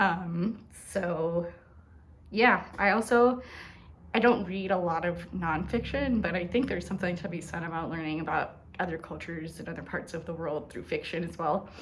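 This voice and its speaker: A soft-spoken woman talks at a moderate pace with a fairly low pitch and ordinary pitch variation. Her voice is somewhat breathy, with audible room echo. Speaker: booktuber. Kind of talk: casual vlog chat. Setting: at home. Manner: soft-spoken, talking quietly; hesitant, many fillers.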